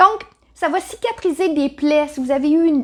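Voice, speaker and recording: In a Quebec accent, a woman speaks at a moderate pace with an animated tone. Noticeable noise can be heard behind her. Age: 60s. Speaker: natural health seller. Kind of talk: tutorial.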